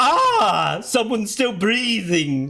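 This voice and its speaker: Pitched fairly high, the voice is a put-on character. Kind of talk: dramatic game-character delivery.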